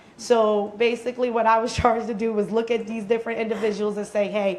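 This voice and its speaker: A woman's fairly high voice at a fairly quick clip, over noticeable background noise. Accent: American. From Pennsylvania, Philadelphia. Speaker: youth organizer, panelist. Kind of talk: panel talk.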